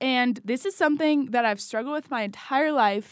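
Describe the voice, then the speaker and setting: A woman with an ordinary speaking voice and an American accent at a moderate pace with lively intonation, on a very clean recording with a silent background and a dry, close sound with no echo. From Washington State. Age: 20s. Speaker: podcast co-host, college student. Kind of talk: casual chat.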